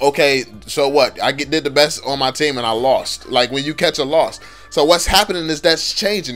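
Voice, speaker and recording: With music in the background, a man speaks at a fairly quick pace and ordinary pitch variation. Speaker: gaming YouTuber. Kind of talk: casual commentary video. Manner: animated.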